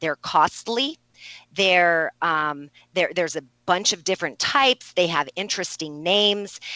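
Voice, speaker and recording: With a bright, sharp tone and medium pitch, a woman speaks at a moderate pace in a dry, close sound with no echo. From New Mexico. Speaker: registered nurse. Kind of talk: interview. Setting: radio interview.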